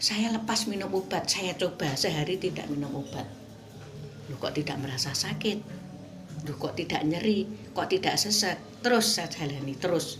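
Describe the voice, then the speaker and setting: Lively intonation comes at a moderate pace. Music plays in the background, and the room echo is audible. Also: woman, fairly low pitch for a woman. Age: 60s. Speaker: product customer giving testimonial, retired kindergarten teacher. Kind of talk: testimony.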